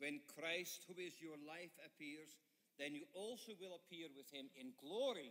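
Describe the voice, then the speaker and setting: A man talks very slowly in a fairly high voice with ordinary pitch variation. His tone is bright and sharp. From Netherlands. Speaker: guest preacher, professor. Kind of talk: sermon with interpreter. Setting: church. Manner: short phrases, pausing for interpreter.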